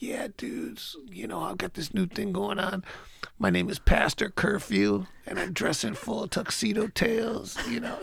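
A man puts on a raspy character voice at a moderate pace. Light background noise can be heard. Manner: weird, affected.

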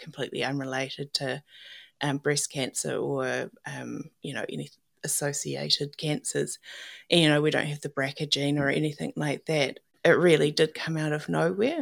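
A woman with a New Zealand accent at a moderate pace, big swings in loudness, in a very clean recording over a silent background. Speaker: cancer survivor. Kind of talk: casual interview, personal story.

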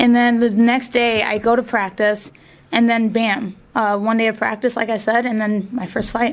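In a Midwestern American accent, a woman speaks with monotone, flat intonation. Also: fairly high pitch for a woman, moderate pace. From northwest Ohio, US (Findlay/Fostoria). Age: 30s. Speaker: MMA fighter and gym owner. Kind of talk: casual interview. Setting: studio.

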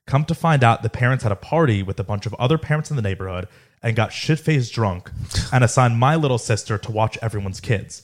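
In a very clean recording with a silent background and a dry, close sound free of echo, a man talks very fast at a medium pitch, somewhat breathy, with ordinary pitch variation. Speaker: podcast host. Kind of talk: casual banter podcast.

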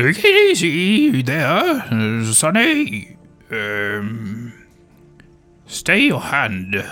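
A put-on character voice at a low-to-middle pitch drags along at a very slow pace while faint music plays in the background. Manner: calm, warning.

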